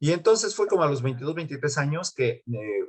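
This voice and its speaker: A man with a central Mexican accent talks at a moderate pace, his voice fairly high and somewhat breathy. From Mexico City, Coyoacán. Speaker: music teacher and pianist. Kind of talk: interview. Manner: halting, many fillers and repeats.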